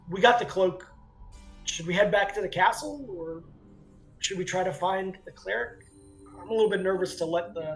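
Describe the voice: In a put-on character voice that is raspy and middle-pitched, the speaker moves at a moderate pace with long, frequent pauses over faint background music.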